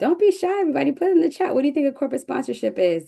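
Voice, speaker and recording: A woman talks at a very fast pace with an American accent. Her tone is dark and mellow. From northern New Jersey, Newark area. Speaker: business coach. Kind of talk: webinar presentation. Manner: animated.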